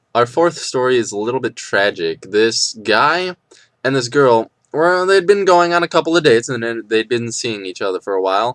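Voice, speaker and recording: A man at a moderate pace with very wide pitch swings, a dry, close sound with no echo, and a quiet background. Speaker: vlogger. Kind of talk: casual commentary monologue. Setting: dorm room.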